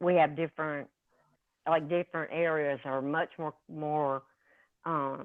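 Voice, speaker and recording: The speaker talks at a fairly slow pace. There is a strong Southern US accent. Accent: strong Southern US drawl. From US South. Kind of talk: casual chat. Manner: laid back.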